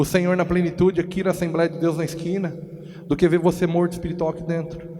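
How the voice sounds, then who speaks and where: Noticeable background noise sits behind this man. He talks at a fairly quick pace with a high pitch. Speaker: pastor. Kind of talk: sermon.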